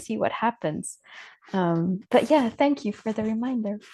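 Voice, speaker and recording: Against a quiet background, a woman with a non-native accent talks at a moderate pace in a fairly high voice with a dark, mellow tone and ordinary pitch variation. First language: not English. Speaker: coach, call participant. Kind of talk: casual chat. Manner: halting.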